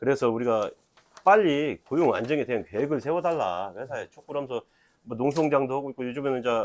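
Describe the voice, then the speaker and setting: A man with a fairly high pitch speaks. His pace is very fast, and his pitch varies in an ordinary way. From Jeolla, Korea (Jeonju). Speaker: union talk show host. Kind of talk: casual interview.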